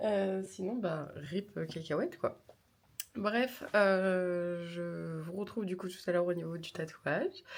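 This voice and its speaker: A woman at a very slow pace, medium pitch and ordinary pitch variation. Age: 20s. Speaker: vlogger and streamer. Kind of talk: travel vlog talking to camera. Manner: casual, hesitant with many fillers.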